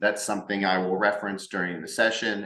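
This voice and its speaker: Room echo can be heard clearly. There is noticeable background noise as well. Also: man. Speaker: business consultant and workshop host. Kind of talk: recorded workshop presentation. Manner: fast; halting, with filler words and repetitions.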